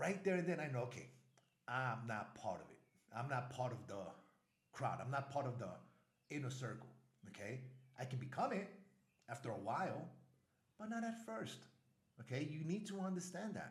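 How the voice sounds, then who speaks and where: Animated and somewhat breathy, a man with an American accent speaks at a moderate pace and medium pitch, with very wide pitch swings, long, frequent pauses and audible room echo. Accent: Spanish sounds foreign to Colombians. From US Northeast, Brooklyn, New York. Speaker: travel vlogger. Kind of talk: casual vlog commentary.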